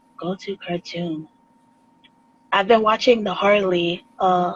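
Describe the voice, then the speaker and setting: Over noticeable background noise, a woman speaks at a fairly slow pace and medium pitch with fairly even intonation. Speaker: artist. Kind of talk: casual chat.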